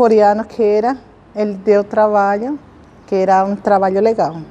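A woman speaks in a fairly high pitch with a Spanish accent. Her intonation is monotone and flat. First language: Spanish (speaking Portuguese). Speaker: immigrant social agent. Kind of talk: interview testimony.

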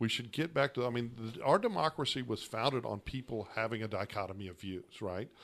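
With an American accent and an unremarkable speaking voice, a man talks at medium pitch and a fairly quick pace, with ordinary pitch variation and hardly any pauses, in a very clean recording with a silent background. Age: 40s. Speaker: attorney and radio host. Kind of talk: casual political debate.

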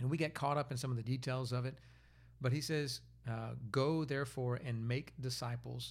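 Somewhat breathy, a man's medium-pitched voice moves at a moderate pace. His intonation is monotone and flat. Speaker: pastor. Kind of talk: interview. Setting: studio.

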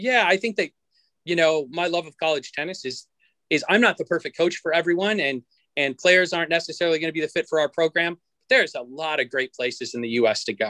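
A man's bright, sharp voice at a high pitch, very fast pace and lively intonation, with a dry, close sound, no echo, in a very clean recording with a silent background. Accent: American. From Montana, US. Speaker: college tennis coach. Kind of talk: casual interview.

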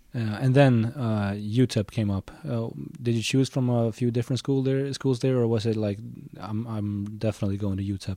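A man with a medium pitch and a dark, mellow tone talks at a moderate pace with fairly even intonation. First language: Swedish. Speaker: podcast host. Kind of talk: interview.

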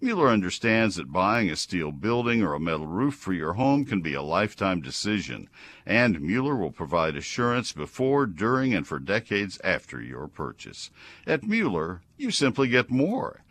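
Vocal fry marks a man's fairly low voice with an American accent. He goes at a moderate pace with very wide pitch swings over a quiet background. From Texas (College Station). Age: 70s. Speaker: radio gardening show host. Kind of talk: call-in advice radio. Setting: studio.

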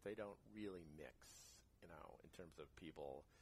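In an American accent, a man talks with ordinary pitch variation. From New Jersey (Jersey City). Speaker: stage actor and singer. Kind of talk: casual interview chat. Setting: home recording during heat wave, birds audible.

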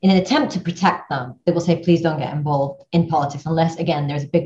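A woman talks at a very fast pace in a somewhat breathy voice. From Iraq, left age six. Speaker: newspaper editor. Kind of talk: interview.

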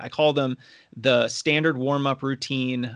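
A normal speaking voice with fairly even intonation comes through against a quiet background. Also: man. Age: 30s. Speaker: running coach. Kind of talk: casual interview.

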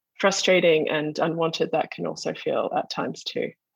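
A woman speaks with an Australian accent. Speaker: visual artist. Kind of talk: artist talk over video call. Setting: video call from home.

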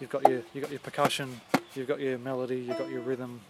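Speaking very fast in a monotone, flat way, a man with an Australian accent keeps a medium pitch against noticeable background noise. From Western Sydney, Australia. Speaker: banjo player. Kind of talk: casual interview. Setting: outdoors, backyard. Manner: halting, many fillers.

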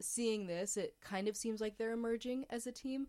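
This is a woman with an unremarkable speaking voice. She talks at a moderate pace with ordinary pitch variation. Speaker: sports podcast co-host, university student. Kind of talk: casual chat.

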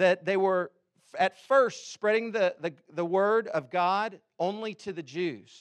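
With a high pitch and ordinary pitch variation, a man speaks in a dry, close sound with no echo. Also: quiet background. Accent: American. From Texas, Houston. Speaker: pastor. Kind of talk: sermon. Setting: church.

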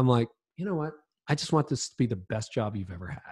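The man's voice is somewhat breathy. His pitch is medium. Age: 50s. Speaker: leadership author and podcaster. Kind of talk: casual interview chat.

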